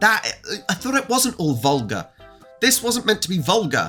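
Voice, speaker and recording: This man's pitch rises and falls very widely. Behind him, there is music. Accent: English. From England. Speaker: reaction YouTuber. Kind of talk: casual talk to camera.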